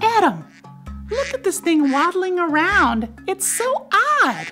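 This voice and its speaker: In a put-on character voice pitched extremely high, a woman speaks at a fairly slow pace while music plays clearly in the background. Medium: read story. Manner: bright, chatty.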